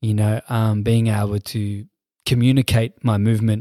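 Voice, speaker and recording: In an Australian accent, a man with a dark, mellow tone and medium pitch talks at a fairly slow pace, in a very clean recording with a silent background and a dry, close sound free of echo. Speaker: dancer and hip hop musician. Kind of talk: casual interview chat. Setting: studio.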